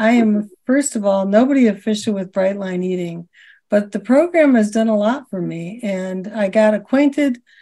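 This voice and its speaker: A woman's dark, mellow voice moves at a moderate pace with ordinary pitch variation against a quiet background. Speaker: podcast host. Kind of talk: personal story told as host intro. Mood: warm, upbeat. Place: home room. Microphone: video call.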